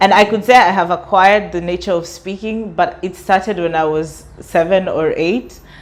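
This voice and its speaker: Against noticeable background noise, a woman talks at a moderate pace in a medium pitch with hardly any pauses. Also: fairly even intonation. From Kenya. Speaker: student and artist. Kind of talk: interview.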